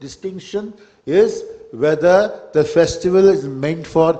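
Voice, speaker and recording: A man with a Kannada accent, over noticeable background noise. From Karnataka, India. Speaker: poet on festival panel. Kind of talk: panel discussion. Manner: halting, many fillers.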